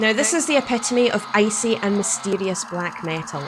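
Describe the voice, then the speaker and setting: Against noticeable background noise, a woman with a Scottish accent sounds enthusiastic at medium pitch with ordinary pitch variation. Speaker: metal album reviewer, channel host. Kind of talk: album review vlog.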